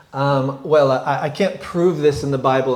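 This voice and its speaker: Audible room echo surrounds a man speaking at a medium pitch with ordinary pitch variation. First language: English (speaking French). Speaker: guest preacher. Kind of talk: sermon. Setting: church.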